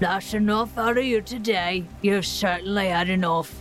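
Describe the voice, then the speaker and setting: A female-sounding put-on character voice, gruff and at a middle pitch, speaks at a moderate pace over clear music in the background. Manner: barking, stern.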